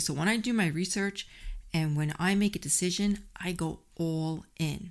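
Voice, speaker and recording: An animated woman at a fairly low pitch, with ordinary pitch variation, on a very clean recording with a silent background. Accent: New York. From New York City. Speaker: podcast host and health coach. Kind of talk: solo podcast monologue. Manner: animated, friendly, conversational.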